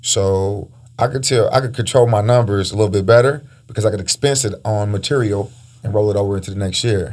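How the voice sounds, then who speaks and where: A man speaks very fast in a fairly low, somewhat breathy voice with ordinary pitch variation. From Panama. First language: Spanish. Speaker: podcast host, real estate investor. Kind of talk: casual interview.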